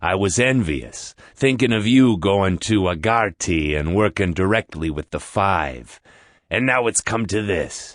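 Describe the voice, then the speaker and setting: The speaker uses a put-on character voice with lively intonation. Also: man. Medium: audio drama. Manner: blunt, casual.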